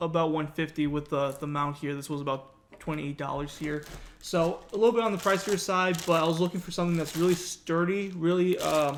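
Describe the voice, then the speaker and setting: At a very fast pace, a man talks in a high pitch with fairly even intonation. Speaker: YouTube content creator. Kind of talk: unboxing tutorial. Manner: casual, filler-heavy.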